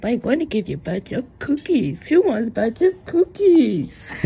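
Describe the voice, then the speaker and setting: Doing a put-on character voice, a woman speaks high-pitched at a moderate pace with very wide pitch swings. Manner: sweet, offering cookies.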